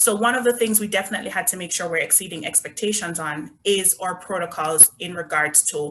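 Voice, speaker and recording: The speaker talks at a fairly quick pace in a Jamaican accent, with ordinary pitch variation. Background noise is noticeable. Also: woman. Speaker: resort brand representative. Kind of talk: virtual presentation.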